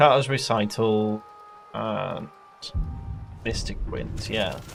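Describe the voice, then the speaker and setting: Music plays in the background as a man speaks at medium pitch. His pace is very slow and his pitch variation is ordinary. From northern England, Yorkshire. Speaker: gaming streamer. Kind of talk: gameplay livestream commentary. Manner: casual, thinking aloud.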